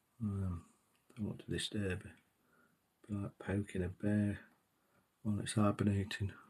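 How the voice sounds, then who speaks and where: A soft-spoken man with a British accent, fairly low in pitch and somewhat breathy, in a monotone, flat intonation broken by long, frequent pauses. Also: moderate pace. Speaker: miniature painting hobbyist. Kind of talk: tutorial.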